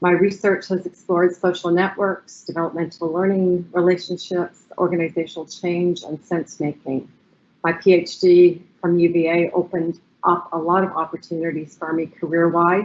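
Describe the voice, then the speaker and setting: Here a woman speaks at a fairly low pitch and moderate pace. Her intonation is monotone and flat. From Canada, Ottawa, Ontario. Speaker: professor. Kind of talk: webinar panel introduction. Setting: online webinar.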